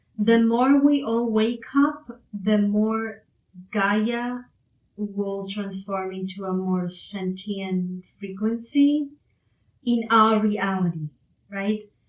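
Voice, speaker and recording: A woman speaks with a non-native accent at a fairly high pitch. Her pace is very slow, with ordinary pitch variation. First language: not English. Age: 50s. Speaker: spiritual channeler. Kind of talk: livestream psychic reading. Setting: live stream.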